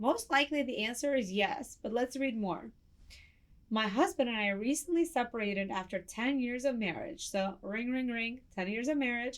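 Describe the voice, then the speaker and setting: A woman with a Russian accent speaks at a high pitch with lively intonation. Her pace is moderate, and the recording is very clean with a silent background. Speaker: family law attorney, advice show host. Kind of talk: advice show answering listener letters.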